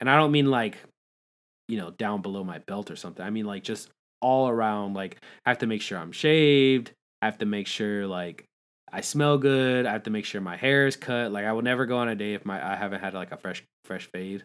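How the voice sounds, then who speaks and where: This man has an ordinary speaking voice with a fairly low pitch. He talks at a fairly quick pace with ordinary pitch variation. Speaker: podcast host. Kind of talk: casual chat. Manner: casual, chatty, joking.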